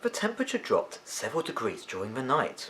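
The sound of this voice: A man talks with big swings in pitch and a fairly bright tone.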